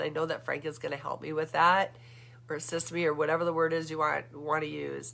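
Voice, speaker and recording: A woman talks very fast with a very deep, low pitch and vocal fry. Her tone is animated, bright and sharp. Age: 60s. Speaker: vlogger. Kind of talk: casual monologue. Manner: halting.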